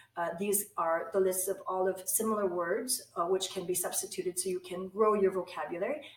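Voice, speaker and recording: A woman speaks at a moderate pace and medium pitch. Hers is an unremarkable speaking voice. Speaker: English language instructor. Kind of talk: online course introduction to camera.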